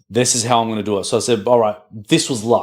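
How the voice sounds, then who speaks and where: The recording is very clean with a silent background as a man with an Australian accent speaks at a medium pitch. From Australia (Melbourne). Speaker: podcast host. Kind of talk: casual interview chat. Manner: animated.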